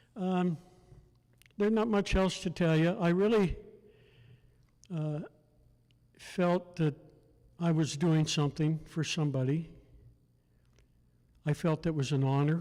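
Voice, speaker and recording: This man has a high pitch and a dark, mellow tone, with ordinary pitch variation and very even loudness. He moves at a fairly slow pace with long, frequent pauses. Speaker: war veteran. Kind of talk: testimony. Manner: halting.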